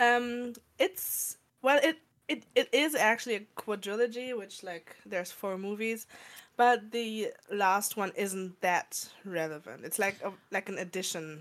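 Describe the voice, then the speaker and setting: A woman with an ordinary speaking voice talks at a fairly high pitch. Her pace is fairly slow, with ordinary pitch variation. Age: 20s. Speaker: podcast co-host. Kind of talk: casual chat.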